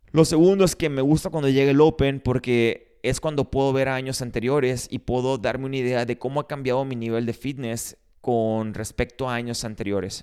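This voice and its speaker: In a very clean recording with a silent background, a man speaks at a moderate pace with hardly any pauses, a dark, mellow tone, medium pitch and ordinary pitch variation. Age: 30s. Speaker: gym owner and podcast host. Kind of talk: solo podcast monologue.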